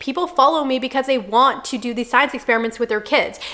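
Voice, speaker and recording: Over noticeable background noise, a woman with a high pitch uses a raised, projected voice at a very fast pace with ordinary pitch variation. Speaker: content creator. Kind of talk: tutorial.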